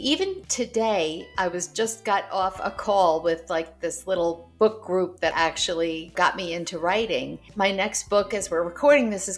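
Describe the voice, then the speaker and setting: Woman at a moderate pace, with music in the background. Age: 60s. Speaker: author. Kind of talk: casual chat.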